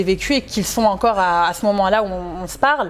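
A woman at medium pitch, talking at a very fast pace with ordinary pitch variation. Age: 20s. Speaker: plus-size model and motivational speaker; interviewee. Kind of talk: casual interview. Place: studio. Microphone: lapel.

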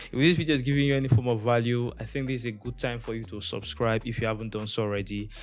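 Very fast speech from a man. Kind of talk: tutorial. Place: home room. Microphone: studio mic.

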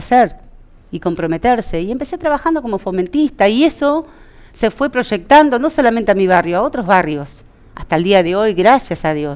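The voice swings very widely in pitch and moves at a fairly quick pace. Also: woman. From Entre Ríos, Argentina. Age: 40s. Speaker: local party politician. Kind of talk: interview. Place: studio.

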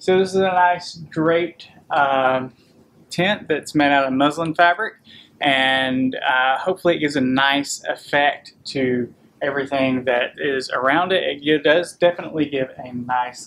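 Man talking at a fairly slow pace, ordinary pitch variation, light background noise. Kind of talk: casual vlog chat. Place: shop. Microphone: camera far.

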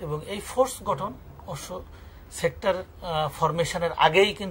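Light background noise accompanies a man speaking at a high pitch. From Khulna, Bangladesh; Bangladesh. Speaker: retired army major, war veteran; writer and researcher. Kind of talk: interview answer. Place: home room.

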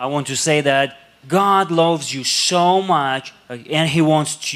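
Very slow speech from a man, fairly high in pitch. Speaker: English interpreter. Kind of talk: sermon interpretation. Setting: church. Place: church. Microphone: handheld.

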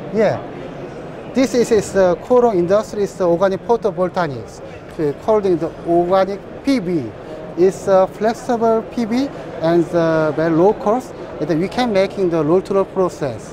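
Speaking with a Korean accent, a man with a high pitch talks at a fairly slow pace with ordinary pitch variation, in a dry sound with no echo and noticeable background noise. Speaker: company representative at trade show. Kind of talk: trade show interview. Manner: halting. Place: hall. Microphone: lapel.

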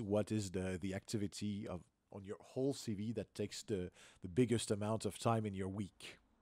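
Fairly low in pitch, a man talks at a fairly quick pace with fairly even intonation. The sound is dry with no echo and a quiet background. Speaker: podcast host. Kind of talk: interview. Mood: upbeat, friendly. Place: home room.

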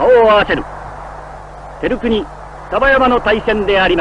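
Noticeable background noise runs under this recording. A man speaks at a high pitch. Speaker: radio sports announcer. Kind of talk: live sumo bout commentary. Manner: grand, dramatic.

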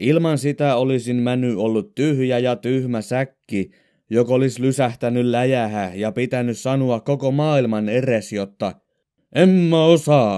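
In a very clean recording with a silent background, a man with a Southern Ostrobothnian accent speaks fairly slowly in a medium-pitched, dark, mellow voice with ordinary pitch variation. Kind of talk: audiobook reading of humorous dialect stories.

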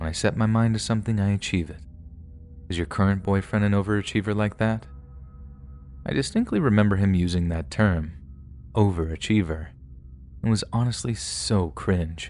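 Over music in the background, a man with a fairly low voice speaks in a dramatic tone at a moderate pace, with ordinary pitch variation and long, frequent pauses. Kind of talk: scripted first-person horror narration of true-crime stories. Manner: tense, hushed, suspenseful storytelling with dramatic pauses; conversational and confessional, building dread.

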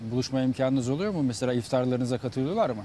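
A man's fairly even intonation, dry sound with no echo, light background noise. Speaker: TV reporter. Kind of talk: live interview. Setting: outdoors. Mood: calm, polite, warm. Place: garden.

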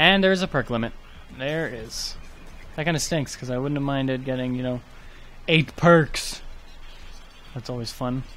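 The speaker keeps a moderate pace with ordinary pitch variation and long, frequent pauses. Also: man, medium pitch for a man. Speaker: gaming YouTuber. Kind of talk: gameplay commentary. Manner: soft-spoken, trails off.

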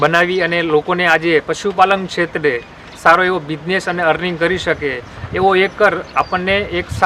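Over noticeable background noise, a man speaks at a high pitch. His intonation is fairly even. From Gujarat, Botad district. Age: young. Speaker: dairy farmer. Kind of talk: interview testimony.

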